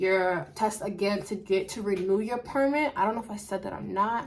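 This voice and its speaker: Her voice sits at a medium pitch, and this woman speaks with ordinary pitch variation. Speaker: vlogger. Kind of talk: casual vlog. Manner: fast.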